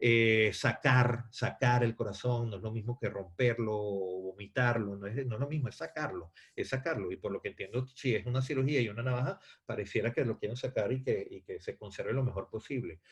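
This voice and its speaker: A man's medium-pitched, somewhat breathy voice at a fairly quick pace, with ordinary pitch variation and hardly any pauses. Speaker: theatre actor and director teaching a class. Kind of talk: lecture. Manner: halting, many fillers and repetitions.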